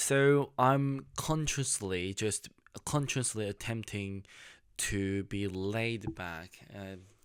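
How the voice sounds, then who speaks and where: In a very clean recording with a silent background, a man with a Korean accent speaks at a fairly low pitch with ordinary pitch variation. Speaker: YouTuber. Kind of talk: casual vlog monologue. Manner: halting.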